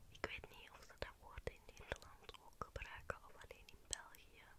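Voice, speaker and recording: A soft-spoken woman whispering at a moderate pace. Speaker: ASMR-style video creator. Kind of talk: soft casual chat to viewers. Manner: soft conversational whisper. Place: home room. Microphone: studio mic.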